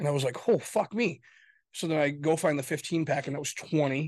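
Against a quiet background, a man talks at a fairly quick pace with an American accent. His is an unremarkable speaking voice. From Michigan, US (Grand Rapids). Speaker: podcast co-host. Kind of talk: casual political argument.

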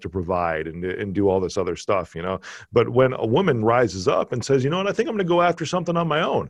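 An animated man with an American accent talks at a fairly quick pace, his pitch swinging very widely, over a quiet background. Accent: slight Chicago accent, worked on reducing it. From Chicago, US Midwest. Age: 40s. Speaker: podcast host. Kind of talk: casual interview chat. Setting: video call.

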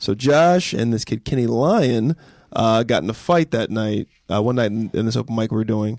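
A man speaks with an American accent in a plain, everyday voice at a moderate pace. His medium pitch shows ordinary variation, and the sound is dry and close with no echo. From California, high desert. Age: 20s. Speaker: comedian. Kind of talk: casual chat.

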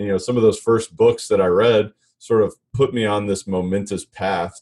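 The man's delivery keeps a moderate pace. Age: 30s. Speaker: commercial real estate broker and coach. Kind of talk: interview conversation.

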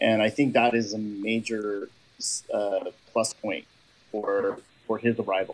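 Pausing long and often, a man with a Californian accent speaks fairly slowly in a medium-pitched, flat monotone. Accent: Californian American. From Southern California. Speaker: fan podcast host. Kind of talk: interview.

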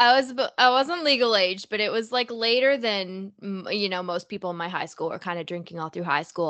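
Speaking in a Canadian accent, a woman with a normal speaking voice talks at a fairly quick pace with lively intonation. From Canada, Toronto. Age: 20s. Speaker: podcast host. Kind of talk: interview conversation.

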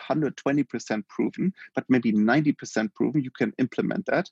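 With a German accent, a man speaks at a medium pitch with lively intonation and vocal fry, in a dry, close sound with no echo. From Germany. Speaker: healthcare tech company founder. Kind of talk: interview.

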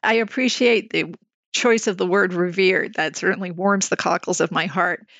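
A woman with a Canadian accent, an unremarkable speaking voice, medium pitch, ordinary pitch variation, very even loudness and a moderate pace. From Canada, Montreal. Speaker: CEO of a research organization. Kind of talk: interview.

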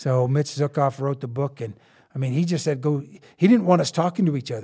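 A man with an American accent talks very fast at a medium pitch with ordinary pitch variation. His tone is dark and mellow, somewhat breathy, on a very clean recording with a silent background. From eastern Colorado, Rocky Ford. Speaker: military contractor and author. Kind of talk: casual interview. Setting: studio.

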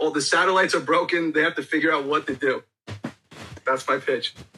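Music plays behind a man who talks very fast. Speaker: caller or guest joining the chat. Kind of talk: casual comedic banter.

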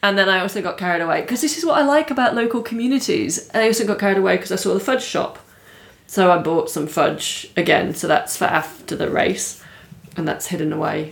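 Noticeable background noise sits under a woman talking at a very fast pace. Her pitch swings very widely. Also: medium pitch for a woman. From England. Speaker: professional triathlete. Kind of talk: casual interview chat.

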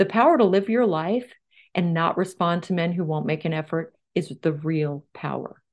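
Against a quiet background, a woman talks at a moderate pace in a fairly low pitch with ordinary pitch variation. It is a normal speaking voice. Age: 50s. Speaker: dating author and relationship expert. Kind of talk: interview. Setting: audio-only interview.

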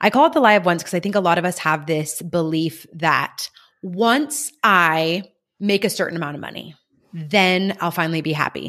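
A woman with a normal speaking voice talks at a moderate pace and a fairly low pitch, with ordinary pitch variation, in a very clean recording with a silent background. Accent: American. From rural California. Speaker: life coach and cattle rancher. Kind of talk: casual interview chat.

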